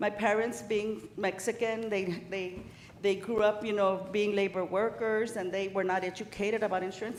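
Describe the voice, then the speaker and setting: A woman with an American accent and a fairly high pitch talks at a fairly quick pace, with audible room echo and noticeable background noise. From El Paso, Texas (Ysleta). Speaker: insurance benefits advisor. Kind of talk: sales presentation. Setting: city council meeting.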